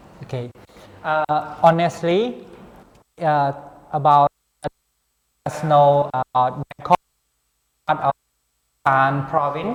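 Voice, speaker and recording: Someone with a Cambodian accent speaks at a very slow pace, leaving long, frequent pauses. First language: Khmer. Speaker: international graduate student. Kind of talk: interview. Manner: halting.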